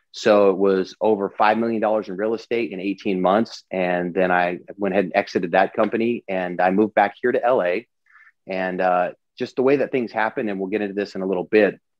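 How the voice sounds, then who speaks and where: A man with an American accent has an unremarkable speaking voice, a fairly low pitch, fairly even intonation, and a fairly quick pace. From US Pacific Northwest (Eastern Washington). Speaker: entrepreneur and business coach. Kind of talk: interview. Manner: casual with many fillers.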